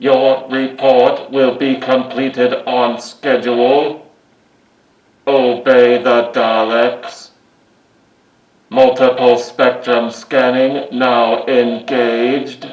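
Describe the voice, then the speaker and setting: A man's put-on character voice at a very slow pace. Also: medium pitch for a man. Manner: commanding, mechanical.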